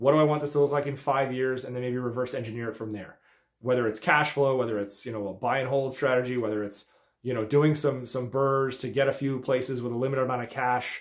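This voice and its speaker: Very fast speech from a man, fairly even in intonation, over a quiet background. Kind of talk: tutorial. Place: office. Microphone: phone near.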